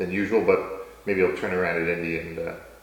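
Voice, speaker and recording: A man with a very deep, low pitch talks very fast. Audible room echo and noticeable background noise fill the recording. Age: 40s. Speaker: company executive and interviewer. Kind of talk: casual chat.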